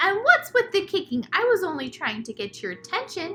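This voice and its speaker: A woman puts on a squeaky character voice at an extremely high pitch, swinging very widely and moving at a fairly quick pace. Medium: read story.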